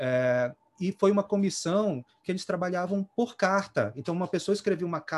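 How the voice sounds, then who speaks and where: A man speaks at a moderate pace. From Belém, Pará, then São Paulo from adolescence. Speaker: music therapist. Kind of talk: panel discussion. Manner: halting.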